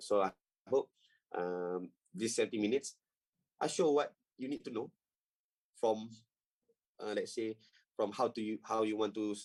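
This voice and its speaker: Speaking with a Malaysian accent at a moderate pace, a man with a medium pitch leaves long, frequent pauses in a dry, close sound with no echo. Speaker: trading coach. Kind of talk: tutorial. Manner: halting.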